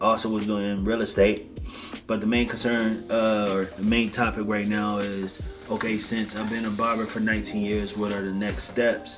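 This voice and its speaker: Over background music and audible room echo, a man with an American accent talks at a moderate pace in a fairly low, monotone, flat voice. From Washington DC area. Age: 30s. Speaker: barber and life coach. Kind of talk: casual vlog monologue.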